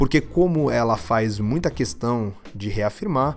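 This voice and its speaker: In a Brazilian accent, a man speaks at a very slow pace with very wide pitch swings on a very clean recording with a silent background. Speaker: podcast host. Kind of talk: solo political commentary podcast. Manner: casual, informal.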